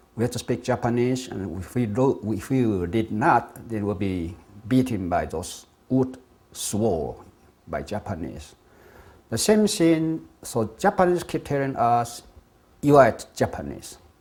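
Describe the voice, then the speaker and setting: In a Taiwanese accent, a man speaks at a medium pitch and a fairly slow pace, his pitch swinging very widely. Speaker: structural engineer and independence activist. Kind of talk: talk on political history.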